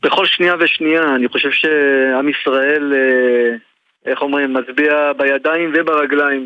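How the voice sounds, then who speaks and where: A man's fairly high voice stays monotone with flat intonation and very even loudness. He talks at a fairly slow pace. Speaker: brother of hostages. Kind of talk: radio interview.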